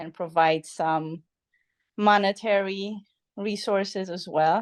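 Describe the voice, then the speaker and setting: At a very slow pace, a woman speaks with a Polish accent. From Poland. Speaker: podcast guest, friend of host. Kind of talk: casual chat. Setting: evening podcast conversation.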